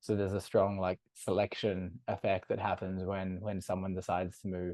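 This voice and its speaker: A man with an Australian accent talks at a moderate pace in a very deep, low voice with monotone, flat intonation. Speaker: startup co-founder. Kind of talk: podcast interview.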